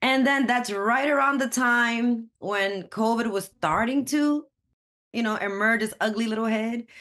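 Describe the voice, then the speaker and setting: Speaking with a New York accent at a fairly slow pace, the voice has a bright, sharp tone and very even loudness. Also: woman, fairly high pitch for a woman, ordinary pitch variation. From Brooklyn, New York. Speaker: community college student. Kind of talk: podcast interview. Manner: animated.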